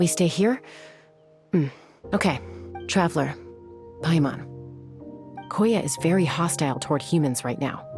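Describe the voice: Putting on a character voice, a woman speaks low in pitch with lively intonation, a slightly husky edge and long, frequent pauses while faint music plays in the background. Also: fairly slow pace.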